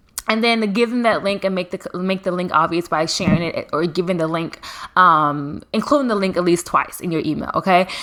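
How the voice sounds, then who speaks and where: Noticeable background noise sits behind a woman speaking at a fairly quick pace and a medium pitch with ordinary pitch variation. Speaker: podcast host. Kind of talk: solo podcast tutorial. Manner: fast; casual, filler-heavy.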